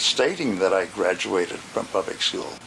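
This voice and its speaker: A man with an American accent talks at a fairly quick pace. Noticeable background noise sits behind him. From US, Connecticut. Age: 90s. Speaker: accordionist and teacher. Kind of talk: interview, life story.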